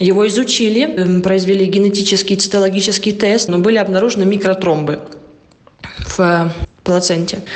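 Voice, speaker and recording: Over noticeable background noise and audible room echo, a woman speaks at a medium pitch and moderate pace, with fairly even intonation, very even loudness, and long, frequent pauses. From Russia. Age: 20s. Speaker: interviewee, mother. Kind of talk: interview.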